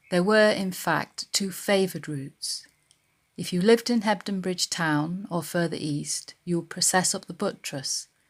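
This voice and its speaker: A woman with a plain, everyday voice speaks at a moderate pace, her pitch fairly low and its variation ordinary, on a very clean recording with a silent background. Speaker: library local studies worker. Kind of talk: documentary narration. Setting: outdoors in woods at dawn.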